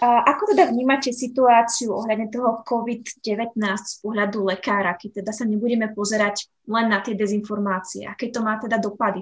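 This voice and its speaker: A woman's somewhat breathy voice sits at a fairly high pitch with fairly even intonation. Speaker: podcast host. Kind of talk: interview. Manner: hesitant.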